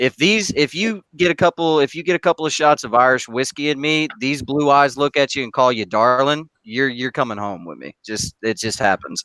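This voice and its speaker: A man's fairly high, animated voice with a Southern US accent, lively intonation and a bright, sharp tone, at a moderate pace with hardly any pauses and a dry, close sound with no echo. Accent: Southern American. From US South, Knoxville, Tennessee. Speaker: gamer in online hangout. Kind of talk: casual chat.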